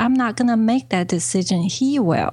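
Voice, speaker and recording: A woman with a Chinese accent talks in a somewhat breathy voice with ordinary pitch variation. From China. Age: 40s. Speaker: business coach. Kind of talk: interview.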